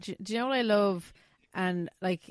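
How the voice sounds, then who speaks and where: A woman speaks with an Irish accent. The sound is dry and close, with no echo. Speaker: podcast host. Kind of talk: casual chat. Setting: video call.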